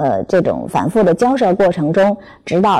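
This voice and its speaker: Very wide pitch swings from a woman, at a moderate pace. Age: 40s. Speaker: parenting educator. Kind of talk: talk to parents. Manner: hesitant fillers.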